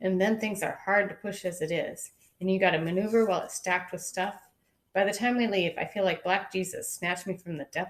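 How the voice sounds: A natural reading voice comes through with quiet surroundings.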